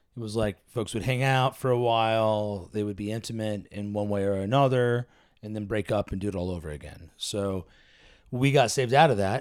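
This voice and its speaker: With an American accent, a man in an ordinary speaking voice talks at a fairly quick pace and a fairly low pitch, with ordinary pitch variation, on a very clean recording with a silent background. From US, various states. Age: 40s. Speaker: pastor. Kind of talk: casual chat.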